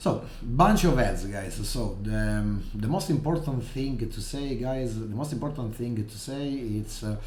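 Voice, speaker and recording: Over noticeable background noise and audible room echo, a man speaks at a fairly slow pace with hardly any pauses. His medium pitch shows ordinary variation. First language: not English. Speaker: gaming streamer. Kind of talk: gameplay commentary. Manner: halting, many fillers.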